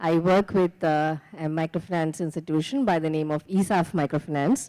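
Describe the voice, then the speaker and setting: A woman speaks at a fairly quick pace in an Indian accent. Her fairly low voice has a dark, mellow tone and ordinary pitch variation. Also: very clean recording, silent background. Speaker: microfinance manager. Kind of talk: conference panel introduction.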